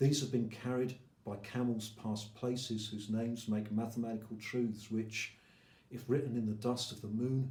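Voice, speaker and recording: A man speaks in a flat, monotone delivery with a somewhat breathy quality. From England. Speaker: poet. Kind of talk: poetry reading.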